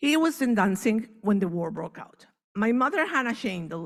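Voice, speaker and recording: Over a very clean recording with a silent background, a woman talks at a moderate pace. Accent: Spanish. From Venezuela. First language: Spanish. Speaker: author and Holocaust family speaker. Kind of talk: speech.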